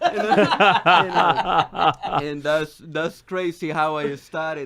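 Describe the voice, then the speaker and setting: This man has a Salvadoran accent and a fairly high pitch. His tone is bright and sharp. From El Salvador. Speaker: economist and financial advisor guest. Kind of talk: radio interview, telling personal story. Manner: halting, many fillers and repetitions.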